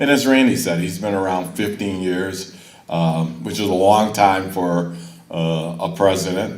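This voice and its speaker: Amid noticeable background noise and audible room echo, a man speaks with a very deep, low pitch and fairly even intonation. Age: 70s. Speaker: college board member. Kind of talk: ceremony speech.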